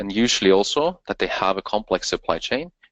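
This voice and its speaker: This man's voice sits at a fairly low pitch. The sound is dry and close, with no echo. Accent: Norwegian. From Norway. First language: Norwegian. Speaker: company co-founder. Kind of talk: webinar presentation. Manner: halting.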